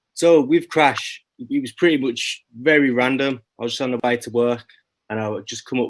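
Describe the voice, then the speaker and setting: Talking at a fairly quick pace, a man speaks with a Birmingham accent. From England, Birmingham. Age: 20s. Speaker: rapper. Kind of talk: interview. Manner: casual.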